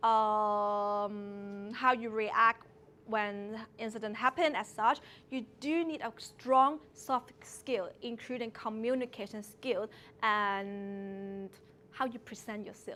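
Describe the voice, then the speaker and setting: Speaking very slowly, a woman uses a Hong Kong accent and a fairly high pitch. Her tone is bright and sharp, and her intonation fairly even. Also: very clean recording, silent background. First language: Cantonese. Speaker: early childhood educator. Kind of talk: talk to seminar audience.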